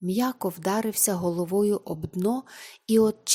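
What we hear is a natural reading voice.

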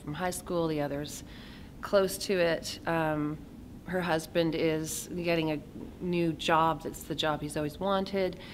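A woman with a very deep, low pitch speaks in a monotone, flat way at a fairly slow pace over light background noise. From Kamloops, British Columbia, Canada; British Columbia. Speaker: actor. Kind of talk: interview. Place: hall.

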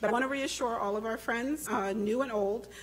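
A woman's very fast speech, with ordinary pitch variation, comes through light background noise. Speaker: conference host giving opening remarks. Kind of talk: opening speech. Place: hall. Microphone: podium.

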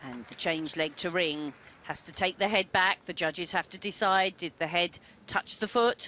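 A woman with a fairly low pitch and a bright, sharp tone speaks at a moderate pace with big swings in loudness, in a dry, close sound with no echo. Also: ordinary pitch variation. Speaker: gymnastics expert analyst. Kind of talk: sports commentary, technical expert analysis of beam routines. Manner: measured, precise, matter-of-fact, clipped technical explanations.

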